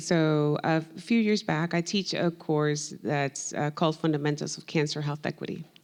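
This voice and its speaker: With a Spanish accent, a woman speaks at a very deep, low pitch. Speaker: professor. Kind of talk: panel discussion.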